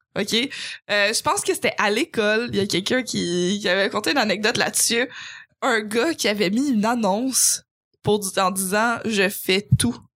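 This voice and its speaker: A woman speaks at a fairly high pitch in an animated tone with very even loudness. The recording is very clean with a silent background. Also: ordinary pitch variation, moderate pace. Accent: Quebec. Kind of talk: casual chat.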